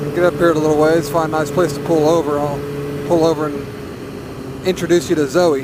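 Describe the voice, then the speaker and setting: A man with an American accent talks at a fairly quick pace in a monotone, flat intonation. Noticeable background noise runs under him. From US South, northern Arkansas. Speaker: motovlogger. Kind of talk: casual vlog monologue while riding. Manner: rambling, hesitant with repetitions.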